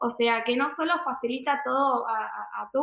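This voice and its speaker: This woman speaks with a high pitch. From Argentina, Buenos Aires. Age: 20s. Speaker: entrepreneur, crypto investor. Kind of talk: interview.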